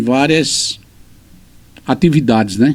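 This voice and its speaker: The man's speech is very slow. Noticeable noise sits in the background. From Pernambuco, Brazil (Lagoa dos Gatos, Cupira). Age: 60s. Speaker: teacher and writer. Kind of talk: interview.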